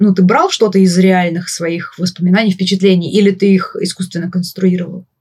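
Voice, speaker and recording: At a fairly quick pace, a woman speaks in a somewhat breathy voice with monotone, flat intonation. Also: medium pitch for a woman. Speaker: podcast host. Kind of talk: casual interview conversation.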